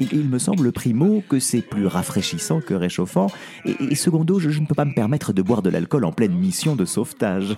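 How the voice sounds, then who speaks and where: Over background music, a man speaks in an animated, theatrical tone at moderate pace and medium pitch, with very wide pitch swings but very even loudness. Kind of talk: fairy-tale audio drama narration. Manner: animated, theatrical, switching between character voices; exaggerated, playful, with laughs.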